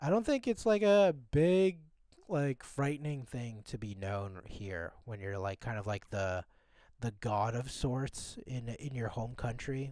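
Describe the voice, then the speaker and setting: Speaking slowly with a Canadian accent, a man uses a medium pitch and a dark, mellow tone while his pitch swings very widely. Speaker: podcast co-host. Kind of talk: casual chat. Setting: remote call from abroad. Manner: casual, filler-heavy. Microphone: poor audio quality.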